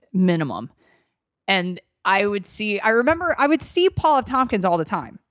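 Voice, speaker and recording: On a very clean recording with a silent background, a loud speaker with an American accent moves at a moderate pace with very wide pitch swings. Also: woman, medium pitch for a woman. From US South, Atlanta, Georgia. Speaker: comedian. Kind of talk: casual chat. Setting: studio.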